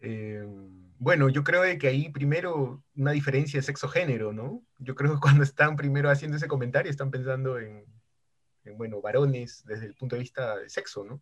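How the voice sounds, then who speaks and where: Somewhat breathy, a man with a fairly high pitch talks at a fairly quick pace, showing ordinary pitch variation and big swings in loudness. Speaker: lawyer and justice researcher. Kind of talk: casual chat.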